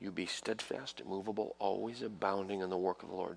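Lively intonation marks this man's fairly quick delivery. His pitch is fairly low, with vocal fry. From New York, Italian-American home. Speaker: visiting evangelist. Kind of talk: charismatic revival healing line, laying on hands and calling out ailments. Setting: church revival service with congregation. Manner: urgent, breathless pace shifting to tender coaxing.

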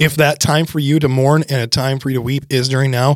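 A man with an American accent, an ordinary speaking voice, medium pitch and fairly even intonation. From Michigan, US (Thumb area). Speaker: pastor. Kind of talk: casual chat.

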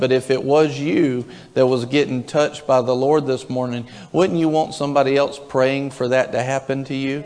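A man with a fairly high pitch and fairly even intonation is heard against noticeable background noise. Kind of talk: fervent congregational prayer, leading worship. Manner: rapt, intense, repeating 'thank you' in rising waves, even slipping into tongues; urgent, warm, coaxing the room.

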